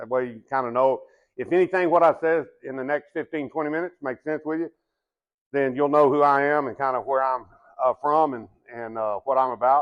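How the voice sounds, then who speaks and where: A man with a Texan accent speaks at a fairly quick pace with fairly even intonation. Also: fairly high pitch for a man. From Texas. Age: 60s. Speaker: business development manager and retired baseball umpire. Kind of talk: sales presentation. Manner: casual, halting with fillers.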